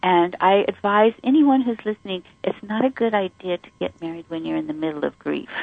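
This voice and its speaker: With lively intonation and a normal speaking voice, a woman at medium pitch talks at a fairly quick pace. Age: 60s. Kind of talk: casual interview chat.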